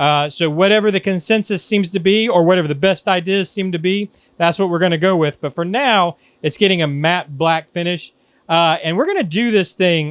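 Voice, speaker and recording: A man shouts loudly in a high voice at a fairly quick pace, with ordinary pitch variation, recorded dry with no echo against a quiet background. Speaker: RC hobby channel host. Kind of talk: casual tutorial vlog. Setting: paint booth in workshop. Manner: loud, near shouting. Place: workshop. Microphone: camera far.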